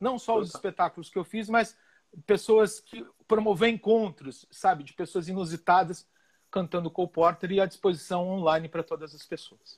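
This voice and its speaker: A high-pitched man with big swings in loudness, in a dry, close sound with no echo. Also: ordinary pitch variation, moderate pace. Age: 50s. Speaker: musical theatre director. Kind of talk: interview. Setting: live stream. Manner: animated.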